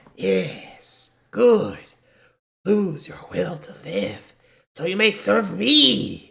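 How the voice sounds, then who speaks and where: Using a put-on character voice, a man talks at a high pitch and a very slow pace. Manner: menacing, commanding.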